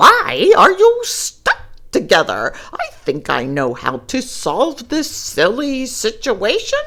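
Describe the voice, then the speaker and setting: Pitched high, this put-on character voice moves at a fairly slow pace. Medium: read story. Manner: pompous.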